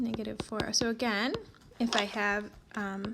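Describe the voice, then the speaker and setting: A woman's fairly high voice with fairly even intonation at a fairly slow pace, amid noticeable background noise. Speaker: math teacher. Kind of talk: tutorial.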